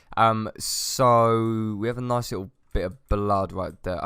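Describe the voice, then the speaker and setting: The background is silent and the recording very clean. A man talks with a fairly low pitch. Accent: British. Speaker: gaming youtuber. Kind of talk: gameplay commentary.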